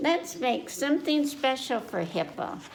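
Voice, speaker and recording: A woman puts on a character voice, pitched high. She keeps a moderate pace over clear background noise. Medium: read story. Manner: bouncy, playful.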